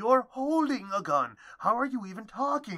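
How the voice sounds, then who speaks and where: At a moderate pace, the voice sits fairly high and moves through very wide pitch swings. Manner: shrill, alarmed.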